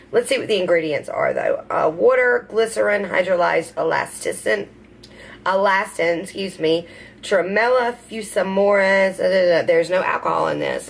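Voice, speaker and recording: A woman talks with a Southern US accent. Her pace is moderate. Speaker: beauty vlogger. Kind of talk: unboxing video. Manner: casual, hesitant with fillers.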